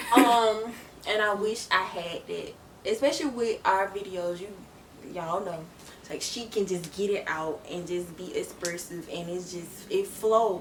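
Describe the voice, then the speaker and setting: Through audible room echo and noticeable background noise, a woman speaks at a fairly slow pace and medium pitch with big swings in loudness. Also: ordinary pitch variation. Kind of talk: casual chat. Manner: quiet; halting.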